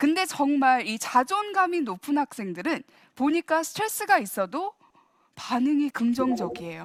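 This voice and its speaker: In a dry, close recording with no echo, a woman speaks at a fairly slow pace in an animated, high voice with very wide pitch swings. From US (Virginia), from age 8; Korea from 13. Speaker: professor giving a church talk. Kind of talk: lecture. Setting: church. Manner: animated, engaging the audience with questions.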